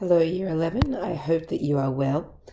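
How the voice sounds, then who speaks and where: Doing a put-on character voice, a woman speaks at a moderate pace, fairly low-pitched, croaky and raspy. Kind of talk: friendly, speaking to students.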